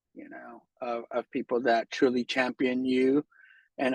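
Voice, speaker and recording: Speaking with an American accent, a man uses a medium pitch and monotone, flat intonation at a fairly slow pace, in a dry, close sound with no echo. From San Jose, California. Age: 40s. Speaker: art studio owner. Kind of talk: interview answer.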